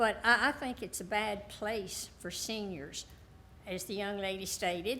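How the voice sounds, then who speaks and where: In a room with audible echo, a woman of medium pitch speaks at a fairly slow pace in a bright, sharp tone with ordinary pitch variation. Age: 80s+. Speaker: resident speaking at public hearing. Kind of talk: public comment. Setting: city council meeting.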